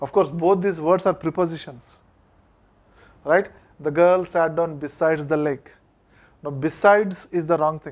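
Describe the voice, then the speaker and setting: Man with an Indian accent, fairly high in pitch, at a moderate pace with fairly even intonation and long, frequent pauses, on a very clean recording with a silent background. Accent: Indian English (Telugu). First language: Telugu. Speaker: college English lecturer. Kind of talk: classroom lecture.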